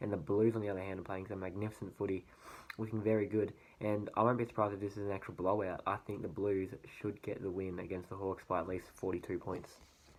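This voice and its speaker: Very fast and flat in a monotone, a man speaks with an Australian accent. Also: fairly low pitch for a man. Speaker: sports vlogger. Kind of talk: casual sports predictions monologue. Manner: hesitant, many fillers.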